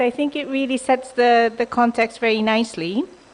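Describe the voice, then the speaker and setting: A woman speaks at a moderate pace while noticeable noise fills the background. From Japan. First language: Japanese. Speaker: development bank official. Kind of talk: conference presentation. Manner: hesitant, many ums.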